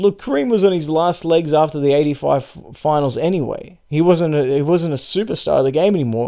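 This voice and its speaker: With a dark, mellow tone and fairly high pitch, a man talks at a moderate pace with ordinary pitch variation. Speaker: basketball podcast host. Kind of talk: solo podcast commentary. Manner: halting.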